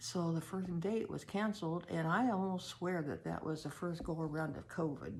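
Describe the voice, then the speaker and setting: Her very deep, low pitch holds a fairly even intonation as the woman speaks at a moderate pace. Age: 70s. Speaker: personal storyteller. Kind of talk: personal testimony. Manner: halting, with many fillers.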